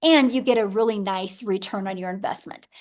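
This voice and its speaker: A woman with a plain, everyday voice speaks at a moderate pace with ordinary pitch variation over a quiet background. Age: 50s. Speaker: webinar presenter selling online income program. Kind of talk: sales pitch webinar. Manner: casual, conversational.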